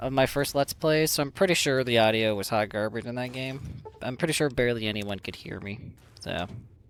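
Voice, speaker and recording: With music in the background, a man talks at a fairly quick pace. His pitch is medium, with ordinary pitch variation. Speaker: gaming streamer. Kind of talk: let's play commentary. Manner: sometimes loud, yelling.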